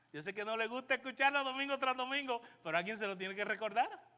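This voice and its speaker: A man's raised, projected voice in a Puerto Rican accent, extremely high-pitched, with a bright, sharp tone. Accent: Caribbean Spanish, Puerto Rican. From Puerto Rico. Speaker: pastor. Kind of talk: sermon.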